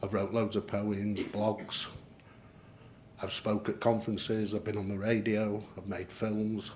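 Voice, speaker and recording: Fairly slow, monotone, flat intonation from a man with a fairly low pitch. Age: 60s. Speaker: patient panel member. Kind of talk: panel presentation.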